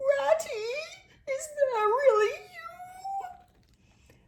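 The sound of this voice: The put-on character voice sits at an extremely high pitch.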